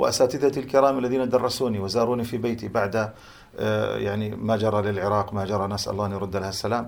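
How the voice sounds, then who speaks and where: A plain, everyday voice from a man with a fairly low pitch. He talks at a fairly quick pace with fairly even intonation. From Jordan (Amman), Palestinian family from Hebron area. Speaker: Islamic scholar. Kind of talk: interview on religious topics. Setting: at home.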